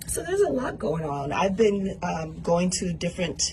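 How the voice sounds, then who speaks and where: Over noticeable background noise, a woman with an American accent speaks at a fairly slow pace, her fairly low pitch showing ordinary variation. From US, South Central Los Angeles. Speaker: political candidate. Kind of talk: radio interview. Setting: radio studio.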